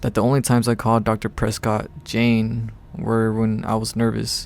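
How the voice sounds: The speaker uses a natural reading voice. It is a natural reading voice throughout.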